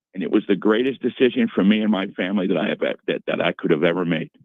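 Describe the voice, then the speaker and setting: Very fast American-accented speech comes from a man with a fairly low pitch. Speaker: retired sports broadcaster. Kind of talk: radio interview. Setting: radio studio. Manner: halting, many repeats.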